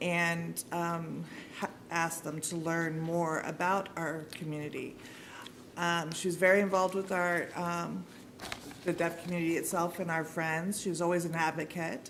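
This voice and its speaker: In a room with audible echo, a woman speaks in a fairly low pitch with monotone, flat intonation. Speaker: sign language interpreter voicing a deaf commenter. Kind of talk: interpreted public comment. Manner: hesitant, many fillers.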